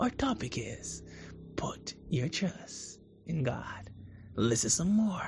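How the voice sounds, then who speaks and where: Whispering at a very slow pace, in a soothing, upbeat tone. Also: man. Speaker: radio host. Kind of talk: radio DJ patter, warm and devotional, introducing gospel songs between tracks. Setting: radio broadcast. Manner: smooth, soothing, upbeat and reassuring, repeating a catchphrase and topic.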